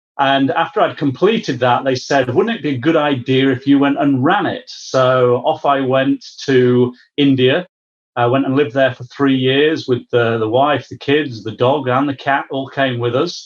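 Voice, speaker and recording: A man with a British accent, medium pitch, moderate pace. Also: ordinary pitch variation. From UK. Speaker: business services executive. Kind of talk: interview.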